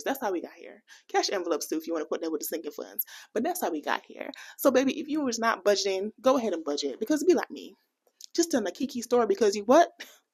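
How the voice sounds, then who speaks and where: Very fast, fairly high-pitched woman's voice with an American accent and very wide pitch swings. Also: big swings in loudness. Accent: American, can switch into Jamaican. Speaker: personal finance vlogger. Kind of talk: casual vlog talk to camera. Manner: animated.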